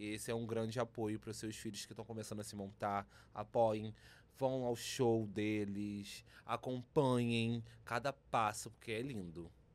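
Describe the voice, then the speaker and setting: At a moderate pace, an unremarkable speaking voice keeps fairly even intonation. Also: man. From Minas Gerais, Brazil (Zona da Mata). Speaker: drag performer. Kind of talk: casual interview.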